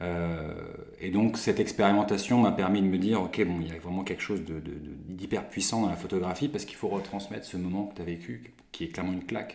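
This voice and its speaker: A man's very deep, low voice at a fairly quick pace, with ordinary pitch variation and audible room echo. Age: 30s. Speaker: photographer. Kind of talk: casual interview.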